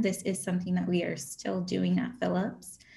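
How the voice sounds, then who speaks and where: A woman speaks in a somewhat breathy voice. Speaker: auction house photography specialist and auctioneer. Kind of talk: educational presentation on auction bidding. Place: home room. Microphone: video call.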